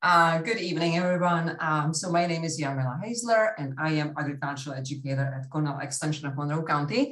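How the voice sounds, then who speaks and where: The voice has a bright, sharp tone and a non-native accent. Its pitch varies in an ordinary way. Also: woman. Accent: foreign. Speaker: agricultural educator. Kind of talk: workshop presentation.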